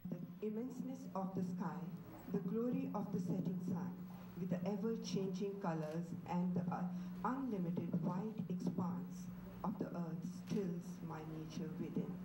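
A woman's medium-pitched voice with fairly even intonation at a fairly slow pace, over loud background noise. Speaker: poet. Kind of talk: poetry reading. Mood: calm, reflective. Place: hall. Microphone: podium.

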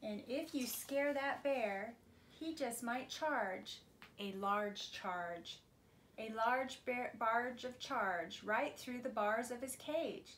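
With a high pitch and ordinary pitch variation, a woman speaks at a very slow pace. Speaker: preschool teacher reading aloud. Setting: video recording for preschool class. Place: home room. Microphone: phone near.

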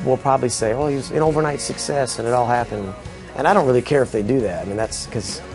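Very fast speech over clear background music. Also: man. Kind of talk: interview answer. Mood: upbeat, reflective. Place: studio.

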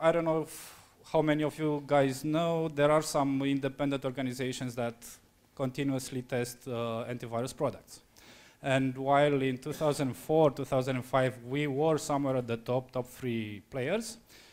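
A man's speech moves at a moderate pace, its intonation fairly even. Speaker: conference presenter. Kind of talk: conference talk. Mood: relaxed, lightly joking. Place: hall. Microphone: handheld.

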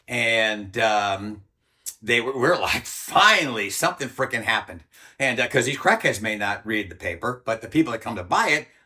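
A man's bright, sharp tone at a moderate pace against a quiet background. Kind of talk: interview answer. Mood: animated, indignant, some laughs. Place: home room. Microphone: lapel.

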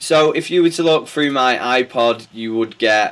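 A man speaks in a Manchester accent. His pace is moderate and his pitch variation ordinary. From northern England, Bury, Greater Manchester; northern England. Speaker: DJ and music producer; DJ. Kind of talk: interview answers. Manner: hesitant, many fillers and repetitions. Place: studio.

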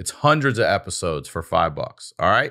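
With an American accent and a bright, sharp tone, a man talks at a moderate pace. The background is quiet. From Maryland. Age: 50s. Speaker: podcast host and comedian. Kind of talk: promotional announcement; casual chat. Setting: studio. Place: studio. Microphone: studio mic.

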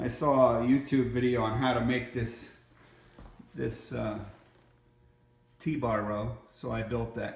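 A man speaks, and audible room echo follows his words. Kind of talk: casual vlog chat. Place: gym. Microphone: phone near.

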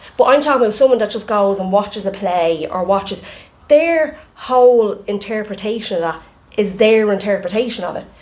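A woman with an Irish accent, fairly quick pace and ordinary pitch variation. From Ireland. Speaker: podcast co-host. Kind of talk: casual chat. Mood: relaxed, chatty, animated. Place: home room. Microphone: studio mic.

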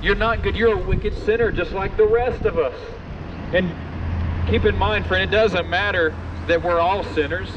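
The speaker is a man. Noticeable background noise runs under his voice. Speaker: street preacher. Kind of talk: open-air street sermon, quoting King James scripture and urging passersby. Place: street.

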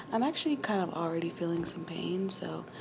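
Noticeable background noise is heard. A woman is speaking. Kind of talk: casual vlog chat. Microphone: phone near.

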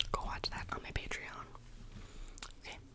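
Loud background noise fills a dry recording with no echo. A woman talks at a moderate pace. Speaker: ASMR creator. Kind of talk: soft casual vlog chat. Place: home room. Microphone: studio mic.

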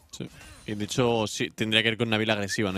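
The man talks at a very fast pace. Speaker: esports caster, analyst. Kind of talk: live esports commentary, analysis. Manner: calmer, analytical, conversational.

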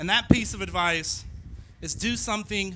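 Raising and projecting his voice, a man speaks at a moderate pace in a bright, sharp tone with fairly even intonation. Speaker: speaker. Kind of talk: commencement speech. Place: stage. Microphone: podium.

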